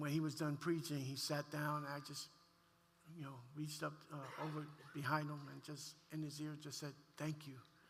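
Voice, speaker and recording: With audible room echo around him, a man speaks at a moderate pace in a fairly high pitch. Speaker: pastor. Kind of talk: testimony. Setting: church.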